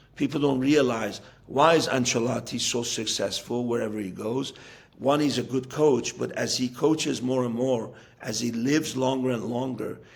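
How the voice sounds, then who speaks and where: Amid noticeable background noise, a man talks with fairly even intonation. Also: medium pitch for a man, moderate pace. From US (raised from childhood, Iranian-born). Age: 60s. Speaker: football coach. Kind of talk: interview. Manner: halting with fillers and repetitions.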